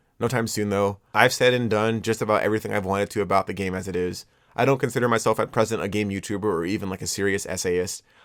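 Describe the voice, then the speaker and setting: Rushing at a very fast pace, a man with a fairly low pitch keeps his intonation fairly even. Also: very clean recording, silent background. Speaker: video essayist and artist. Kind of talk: video essay outro, off-script talk. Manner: fast, motor mouthy; halting, many filler words and repeats.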